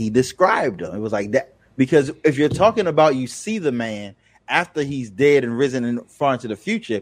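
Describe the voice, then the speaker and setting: An unremarkable speaking voice from a man, fairly quick with lively intonation, against a quiet background. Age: 40s. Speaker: solutions architect, guest on religion. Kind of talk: casual debate.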